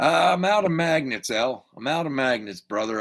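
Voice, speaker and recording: With an American accent, a man talks in a fairly high pitch at a moderate pace with lively intonation. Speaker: YouTube car hobby livestream host. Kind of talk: casual livestream chat. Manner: casual, rambling with hesitations.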